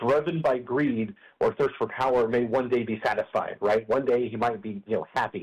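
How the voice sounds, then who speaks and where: Using a normal speaking voice at a moderate pace, a man talks in an American accent at a medium pitch. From Colorado. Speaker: opinion writer. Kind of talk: radio interview answer.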